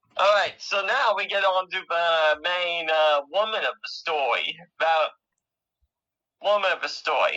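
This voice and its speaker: Long, frequent pauses at a fairly slow pace. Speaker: podcast co-host. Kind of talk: casual podcast, reading from notes. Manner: halting, stumbling over words.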